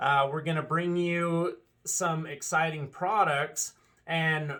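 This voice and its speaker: This man's voice is loud, with a bright, sharp tone. His intonation stays fairly even. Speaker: dealership owner. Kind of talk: casual video address.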